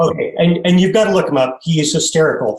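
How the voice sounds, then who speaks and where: This man's voice is somewhat breathy, and his pitch varies in an ordinary way. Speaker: brand designer, design firm owner. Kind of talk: casual chat.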